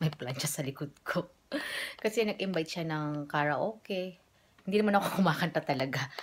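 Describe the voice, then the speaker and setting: Lively intonation and a moderate pace from a woman with an unremarkable speaking voice. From Philippines. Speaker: vlogger. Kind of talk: casual vlog chat. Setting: outdoors.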